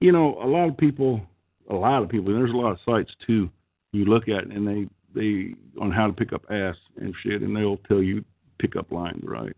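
A man speaks with an Oklahoma accent, his pitch rising and falling in an ordinary way. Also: fairly low pitch for a man. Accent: Okie-like twang. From California, San Joaquin Valley. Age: 50s. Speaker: call-in show host. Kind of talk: casual chat.

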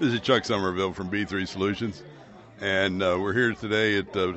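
This man has an unremarkable speaking voice, fairly low in pitch, moving at a moderate pace with fairly even intonation. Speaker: company executive. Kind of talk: casual interview. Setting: restaurant, on location.

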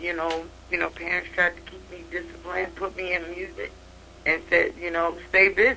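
A woman speaks with an American accent at a moderate pace. Her loudness swings widely, and there is noticeable background noise. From Chicago. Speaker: jazz trumpet player. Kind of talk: casual interview.

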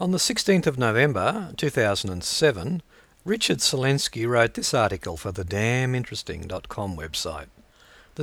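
With an Australian accent, a man speaks at a medium pitch with very wide pitch swings, recorded very cleanly against a silent background. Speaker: podcast host. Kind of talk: reading aloud.

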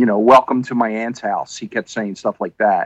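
A man's unremarkable speaking voice at medium pitch, with fairly even intonation. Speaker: podcast co-host. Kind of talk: casual chat. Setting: video call.

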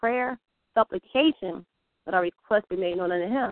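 A woman speaks at a fairly quick pace with a medium pitch and ordinary pitch variation, in a plain, everyday voice. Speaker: caller. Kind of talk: casual chat. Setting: phone call.

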